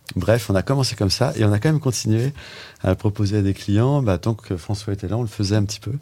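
A man's very fast speech, fairly low in pitch, with ordinary pitch variation. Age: 50s. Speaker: entrepreneur, digital agency co-founder. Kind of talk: casual interview chat.

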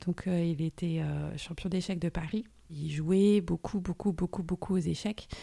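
A woman speaks at a moderate pace in a somewhat breathy voice with a dark, mellow tone and ordinary pitch variation. The sound is dry and close, with no echo. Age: 40s. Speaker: podcast guest sharing family story. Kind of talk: personal testimony interview. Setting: studio. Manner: hesitant, many fillers and repetitions.

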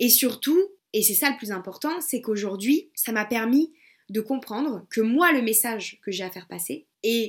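Energetic in tone, a woman with a fairly high pitch speaks at a fairly slow pace, with lively intonation and big swings in loudness. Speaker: podcast host and web entrepreneur. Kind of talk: solo podcast monologue. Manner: casual, energetic.

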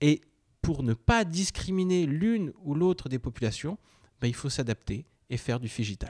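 Recorded dry and close with no echo, a man speaks at a fairly high pitch with very wide pitch swings. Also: moderate pace. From Brittany (Finistère), partly Poland. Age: 20s. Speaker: startup founder and CEO. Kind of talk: interview. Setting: startup hotel in Rennes. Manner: hesitant, many fillers.

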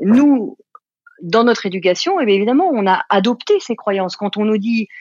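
A woman speaks at a fairly high pitch. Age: 50s. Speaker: life coach and author. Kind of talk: interview. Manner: halting, many fillers.

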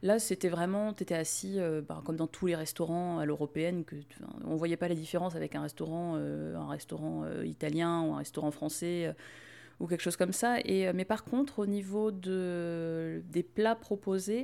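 On a very clean recording with a silent background, a woman speaks at a moderate pace with a fairly low pitch, a dark, mellow tone and ordinary pitch variation. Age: 30s. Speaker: podcaster. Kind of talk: casual chat.

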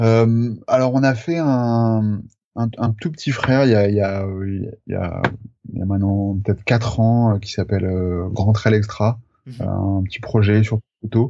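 A man speaks very slowly in a fairly low pitch, his tone dark and mellow and his intonation fairly even. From France, Charente. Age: 30s. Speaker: photographer. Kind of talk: interview. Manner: halting, many fillers.

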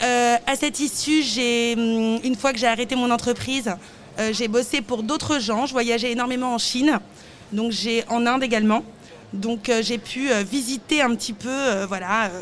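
At a fairly slow pace, a woman talks at a high pitch with fairly even intonation. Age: 30s. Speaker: fashion brand founder. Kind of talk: interview. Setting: live at a trade fair stand.

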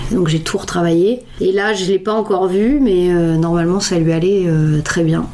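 With audible room echo and noticeable background noise, a woman talks at a moderate pace in a fairly low pitch with fairly even intonation. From northern France, Lille. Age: 30s. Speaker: upcycling designer and activist. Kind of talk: interview.

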